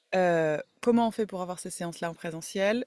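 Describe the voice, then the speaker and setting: A woman speaks at a moderate pace with medium pitch, the sound dry and close with no echo. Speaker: holistic therapist and podcaster. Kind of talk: casual podcast monologue. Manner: hesitant, many fillers.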